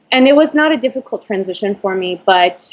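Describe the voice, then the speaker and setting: A woman with a Spanish accent speaks with lively intonation. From Florida, Venezuelan parents. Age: 30s. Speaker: ballet dancer. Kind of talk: interview.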